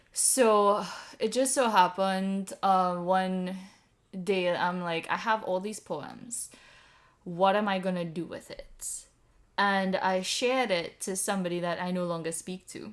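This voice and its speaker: A woman with a Caribbean accent speaks at a fairly slow pace and medium pitch. Her intonation stays fairly even while her loudness swings a lot. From Trinidad and Tobago. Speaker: poet. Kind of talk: casual interview.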